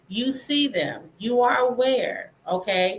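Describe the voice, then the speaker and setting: A woman talks in a bright, sharp tone at a high pitch. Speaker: podcast host. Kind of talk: solo podcast talk. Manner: deliberately paced.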